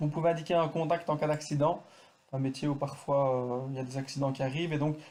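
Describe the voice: Talking at a fast pace, a man has a medium pitch and a dark, mellow tone.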